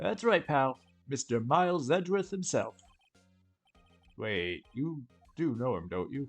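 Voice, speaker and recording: A man speaks in a gruff, put-on character voice with a fairly high pitch and very wide pitch swings, at a fairly slow pace broken by long, frequent pauses, with faint music in the background. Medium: game stream. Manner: gruff, blustery, keeps saying pal.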